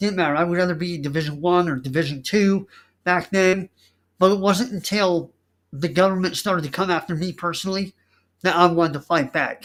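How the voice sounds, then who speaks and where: A loud voice at a fairly quick pace. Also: man, high pitch for a man, very clean recording, silent background. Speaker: political candidate and online show host. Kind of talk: campaign speech. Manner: animated.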